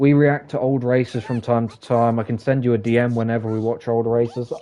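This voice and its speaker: Here a man speaks with a British accent. His pace is moderate and his tone dark and mellow. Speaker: gaming streamer. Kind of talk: casual live stream chat.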